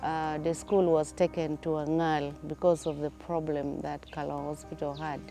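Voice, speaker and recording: Moderate pace over music in the background. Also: woman. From northern Uganda. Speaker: anesthetic tutor. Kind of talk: interview answer.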